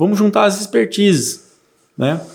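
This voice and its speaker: A man is speaking. His pace is fairly slow. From São Paulo state, Brazil (Mirandópolis). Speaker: agronomist and rural union director. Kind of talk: casual interview.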